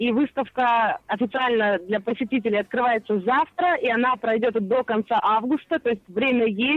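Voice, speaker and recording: Her pitch is fairly high, with ordinary variation. This woman keeps a moderate pace, very even loudness and hardly any pauses. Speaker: radio correspondent. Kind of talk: live phone report. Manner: lively, upbeat.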